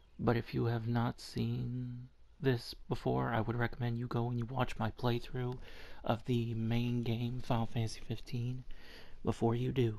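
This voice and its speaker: A man speaks quietly at a medium pitch and a moderate pace, in a dark, mellow tone. His intonation is monotone and flat. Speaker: gaming video creator. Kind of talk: let's play commentary. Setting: at home early morning, others asleep. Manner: quiet, subdued.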